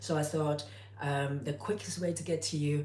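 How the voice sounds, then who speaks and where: A woman speaks at a very deep, low pitch, her voice somewhat breathy. Room echo is audible around her. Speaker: cooking youtuber. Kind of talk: live stream tutorial. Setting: home, live stream on tripod. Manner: hesitant, many fillers.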